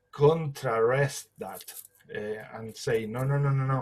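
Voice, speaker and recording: A man with a fairly high pitch and a non-native accent, speaking at a very slow pace, with music in the background. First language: not English. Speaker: light language group facilitator. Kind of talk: group spiritual discussion. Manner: halting.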